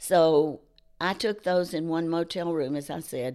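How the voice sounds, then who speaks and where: With a Southern US accent, a woman speaks at a very deep, low pitch with ordinary pitch variation. The recording is very clean, with a silent background. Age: 70s. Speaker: charity co-founder. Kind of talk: interview. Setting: studio.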